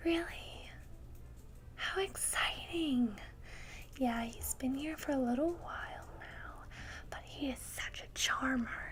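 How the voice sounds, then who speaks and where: The words are whispered very slowly, broken up by long, frequent pauses. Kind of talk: ASMR pet store roleplay, soft-spoken informative talk. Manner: soft-spoken.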